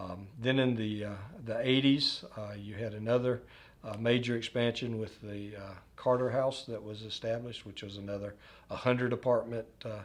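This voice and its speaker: A man with a Southern US accent speaks at a moderate pace and a medium pitch. His intonation is flat and monotone, while his loudness swings widely. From US South, north Florida. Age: 50s. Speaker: retirement community executive. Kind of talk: oral history interview. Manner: halting, many fillers.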